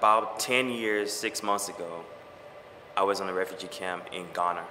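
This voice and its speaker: Audible room echo and noticeable background noise surround a man's voice. He speaks at a moderate pace with a fairly low pitch and fairly even intonation. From Liberia. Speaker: soldier. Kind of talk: interview.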